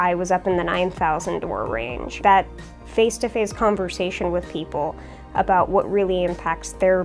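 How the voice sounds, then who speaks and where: Music in the background beneath a woman's moderately paced speech. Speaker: state legislator, candidate who campaigned by door knocking. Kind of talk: interview answer, testimonial.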